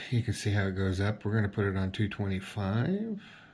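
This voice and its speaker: A man talks at a very fast pace in a somewhat breathy voice on a very clean recording with a silent background. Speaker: cooking video host. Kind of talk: tutorial.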